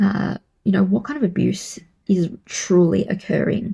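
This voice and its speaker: A woman speaks at a medium pitch with ordinary pitch variation. Her tone is dark and mellow, with vocal fry. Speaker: podcast host. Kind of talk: commentary monologue.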